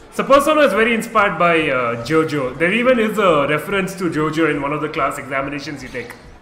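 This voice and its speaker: Amid noticeable background noise and audible room echo, a man races along at a very fast pace with hardly any pauses, lively intonation and a fairly high pitch. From India. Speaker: gaming streamer. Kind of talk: live gameplay commentary. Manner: animated.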